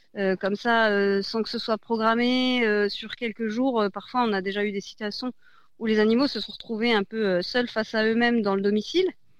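A woman's normal speaking voice, fairly high in pitch, with ordinary pitch variation, a fairly slow pace and a quiet background. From France, Besançon. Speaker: charity branch head. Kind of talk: radio interview.

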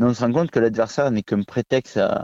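A man speaks quietly... no wait: A man talks at a fairly quick pace with a medium pitch, a dark, mellow tone and a slight southern French accent. The sound is dry and close with no echo, and the background is quiet. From southern France, Vaucluse (Pernes-les-Fontaines). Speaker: kickboxing champion and coach. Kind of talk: radio interview.

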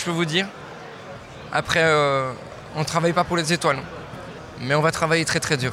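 Noticeable background noise sits under a man talking at a high pitch. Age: 20s. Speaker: chef. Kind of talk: interview.

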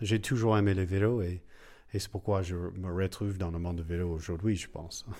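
In a very clean recording with a silent background, a man with an English accent speaks at a moderate pace, his pitch fairly low with ordinary variation. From United States. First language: English (speaking French). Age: 40s. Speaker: cycling café co-founder. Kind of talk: interview. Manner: halting, many hesitations.

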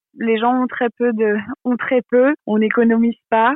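In a fairly high pitch, a woman speaks with monotone, flat intonation. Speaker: social media creator. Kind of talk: interview. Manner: hesitant, many fillers. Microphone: poor connection.

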